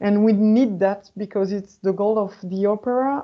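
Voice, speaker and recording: A woman speaks at a moderate pace with a French accent. Her pitch is medium and her intonation fairly even. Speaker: opera sales manager. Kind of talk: webinar panel discussion. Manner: halting.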